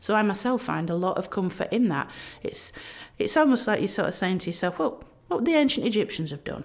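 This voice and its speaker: A woman of medium pitch, speaking in a Yorkshire accent, talks at a very fast pace with lively intonation. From South Yorkshire, England (Barnsley). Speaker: egyptologist, professor. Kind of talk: podcast interview. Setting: recorded at a history festival. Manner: animated.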